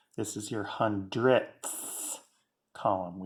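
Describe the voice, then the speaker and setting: A put-on character voice comes through with a hissing sound. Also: man, fairly low pitch for a man. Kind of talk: classroom demonstration.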